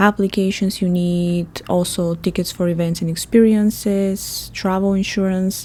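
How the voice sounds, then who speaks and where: In a very clean recording with a silent background, a woman with a Bulgarian accent speaks fairly slowly at a medium pitch, her dark, mellow tone somewhat breathy and her intonation monotone and flat. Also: hardly any pauses. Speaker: travel podcast host. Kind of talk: podcast monologue. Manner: chatty, talkative.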